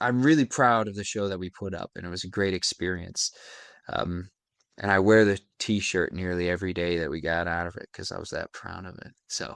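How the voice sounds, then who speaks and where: Very deep and low in pitch, a man talks at a fairly quick pace with ordinary pitch variation and big swings in loudness. The sound is dry and close, with no echo. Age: 20s. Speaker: actor. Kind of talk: interview. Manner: halting.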